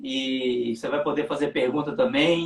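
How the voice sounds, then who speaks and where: A man speaks at a fairly slow pace with a strong Minas Gerais accent and ordinary pitch variation. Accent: strong Minas Gerais (mineiro). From Brazil, Minas Gerais (Belo Horizonte). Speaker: pastor, livestream host. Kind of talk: casual livestream chat. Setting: online livestream.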